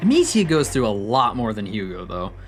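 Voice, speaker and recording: A moderate pace over noticeable background noise. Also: man. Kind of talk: video essay narration. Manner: mumbling at times; natural speaking voice.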